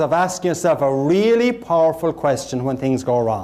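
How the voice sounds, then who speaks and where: With an Irish accent, a man speaks at a moderate pace, his pitch swinging very widely. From Ireland, Cork. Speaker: motivational speaker. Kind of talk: motivational keynote speech. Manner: humorous.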